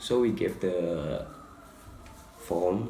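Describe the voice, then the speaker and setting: A man with an Indonesian accent speaks in a very deep, low voice, with audible echo in the room. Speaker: student presenter. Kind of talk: presentation. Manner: halting.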